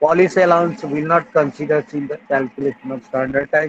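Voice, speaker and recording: A man talks at a fairly quick pace in a plain, everyday voice. His pitch is fairly high, with ordinary pitch variation. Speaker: engineering lecturer. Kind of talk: lecture.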